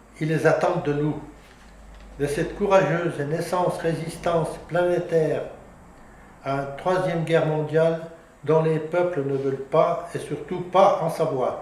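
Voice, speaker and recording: Fairly slow, monotone speech with flat intonation, long and frequent pauses, and audible room echo. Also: man, high pitch for a man. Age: 80s. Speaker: regional independence activist. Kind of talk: casual interview remarks; public speech. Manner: halting, with false starts.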